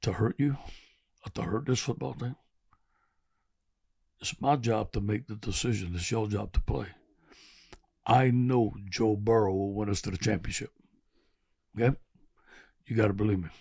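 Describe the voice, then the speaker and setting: A raspy, put-on character voice moves at a moderate pace. Long, frequent pauses break up the delivery. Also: man, fairly low pitch for a man. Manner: sterner, firm.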